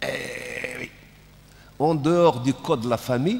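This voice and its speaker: A man speaks at a very slow pace. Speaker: panel moderator. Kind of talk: panel discussion.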